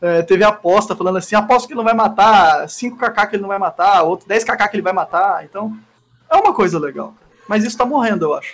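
A man with a high pitch and ordinary pitch variation talks very fast. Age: 20s. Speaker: streamer. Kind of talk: casual chat. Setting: live stream.

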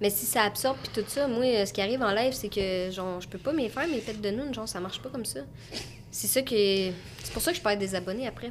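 Speaking with a Quebec accent, a woman talks at a very fast pace with lively intonation. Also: medium pitch for a woman. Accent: Québécois French. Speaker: content creator. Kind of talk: casual chat. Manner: animated.

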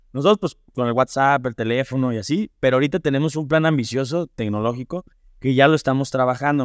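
Against a quiet background, a man talks very fast at a medium pitch. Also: dry, close sound with no echo. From Mexico, Irapuato (Guanajuato). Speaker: family business manager in construction. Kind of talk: interview.

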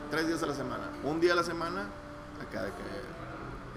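Through noticeable background noise and an audible room echo, a man with a Mexican accent and a high pitch talks at a fairly slow pace. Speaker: comic artist and studio head. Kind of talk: casual interview.

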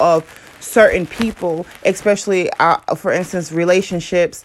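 A woman is talking while noticeable noise sounds in the background. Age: 20s. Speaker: podcast host. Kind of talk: casual monologue.

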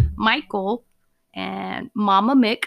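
A woman with a medium pitch speaks in an animated tone, the sound dry and close with no echo. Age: 20s. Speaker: solo podcast host. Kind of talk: casual unscripted monologue. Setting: home recording with USB mic and laptop. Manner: animated, laughing.

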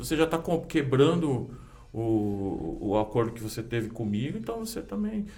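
A man at a moderate pace, big swings in loudness, music in the background and audible room echo. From Brazil, São Paulo city. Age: 40s. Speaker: kung fu teacher. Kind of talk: casual chat.

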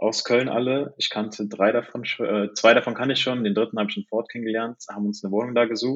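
At a fairly quick pace, a man with an ordinary speaking voice talks in a medium pitch. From Cologne area, Germany. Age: 20s. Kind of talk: casual chat.

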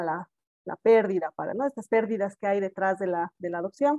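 Moving at a fairly quick pace, a woman speaks in a plain, everyday voice of medium pitch, the sound dry and close with no echo. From South America. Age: adult. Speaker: podcast host, adoptee. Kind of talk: casual chat.

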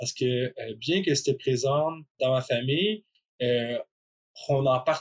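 Somewhat breathy and medium in pitch, a man speaks at a very slow pace with long, frequent pauses and ordinary pitch variation, in a dry, close sound with no echo. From Quebec. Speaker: person who stutters, podcast guest. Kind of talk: personal testimony.

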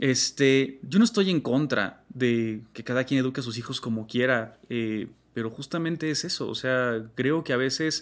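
An unremarkable speaking voice moves at a fairly slow pace with hardly any pauses and ordinary pitch variation, in a very clean recording with a silent background. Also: man, medium pitch for a man. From Mexico, Salamanca, Guanajuato. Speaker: graphic designer and digital artist. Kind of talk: interview.

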